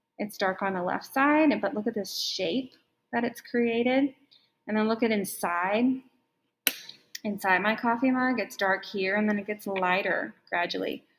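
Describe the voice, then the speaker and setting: Ordinary pitch variation and a fairly slow pace in an unremarkable speaking voice. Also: woman, fairly high pitch for a woman. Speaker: art teacher. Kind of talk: tutorial.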